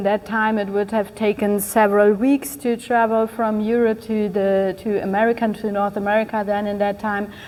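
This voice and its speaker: A woman with a German accent and a fairly high pitch, at a moderate pace, over noticeable background noise. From Germany. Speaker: keynote speaker. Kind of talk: speech. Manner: halting.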